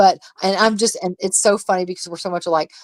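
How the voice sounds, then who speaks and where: A woman speaks at a fairly quick pace. The sound is dry and close, with no echo. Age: middle-aged. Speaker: live streamer. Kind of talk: casual chat. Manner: animated.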